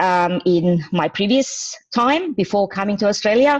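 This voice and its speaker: With a non-native accent, a woman speaks at a fairly slow pace. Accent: foreign. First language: not English. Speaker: training manager. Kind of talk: presentation.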